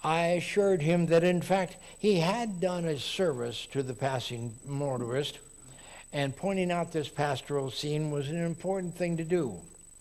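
Audible room echo surrounds a man with an American accent who has a fairly high pitch, ordinary pitch variation and a moderate pace. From Texas. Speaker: lay preacher at a Unitarian congregation. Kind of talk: sermon.

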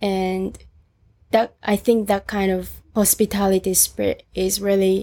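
A woman at medium pitch, monotone and flat, at a very slow pace in a very clean recording with a silent background. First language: Japanese. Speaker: student volunteer for an ocean charity. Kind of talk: interview. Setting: recorded on a roof, in person.

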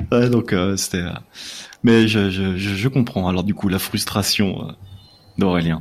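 A man talks at a fairly slow pace in a fairly low voice with fairly even intonation and long, frequent pauses. Noticeable background noise is present. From France, Lyon. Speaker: literature podcaster. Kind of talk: casual chat.

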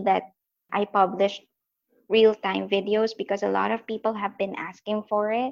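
Vocal fry with fairly even intonation and a slightly mellow tone. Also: woman.

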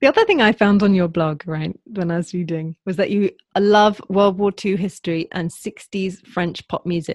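In a British accent, a woman speaks at a moderate pace with hardly any pauses, the sound dry and close with no echo. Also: medium pitch for a woman, fairly even intonation. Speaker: podcast host. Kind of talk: podcast interview with scripted intro and ad read.

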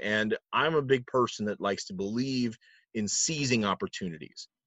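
A man with an American accent, medium pitch, lively intonation and an ordinary speaking voice. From New Jersey, US. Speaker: event announcer and trivia host. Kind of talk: casual interview chat.

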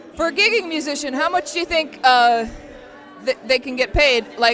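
Music plays in the background as a woman speaks. She keeps a moderate pace with ordinary pitch variation. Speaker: radio host. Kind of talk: radio show interview and banter.

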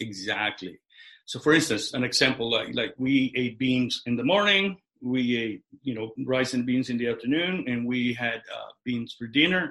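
At a moderate pace, a man with a bright, sharp tone speaks at medium pitch with ordinary pitch variation. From Mexico (Guadalajara), then Chicago from childhood. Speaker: business owner. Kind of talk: casual chat.

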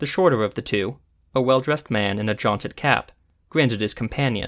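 Ordinary pitch variation runs through the reading. It is an unforced reading voice.

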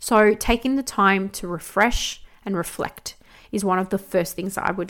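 At a moderate pace, a woman speaks with a medium pitch and fairly even intonation on a very clean recording with a silent background. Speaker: podcast host and business CEO. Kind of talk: solo podcast monologue, personal reflection. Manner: hesitant with frequent fillers.

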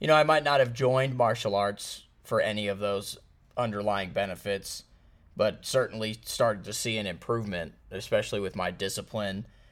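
A man with a plain, everyday voice and ordinary pitch variation, on a very clean recording with a silent background. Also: fairly low pitch for a man, moderate pace. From Missouri, US Midwest (St. Louis). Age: 30s. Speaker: martial arts instructor. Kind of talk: casual interview.

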